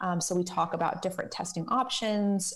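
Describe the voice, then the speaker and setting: At a fairly quick pace, a woman with an unremarkable speaking voice talks at a medium pitch with ordinary pitch variation. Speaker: genetic counselor. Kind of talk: interview.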